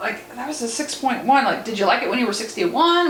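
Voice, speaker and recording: Amid noticeable background noise and audible room echo, a woman talks fairly quickly in an animated tone, her pitch swinging very widely. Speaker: paranormal investigator and medium. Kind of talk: casual explanation during an investigation.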